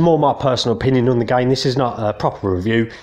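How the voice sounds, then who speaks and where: A man with an English accent talks at a very fast pace. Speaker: gaming youtuber. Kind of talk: casual video game review. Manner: hesitant, many fillers.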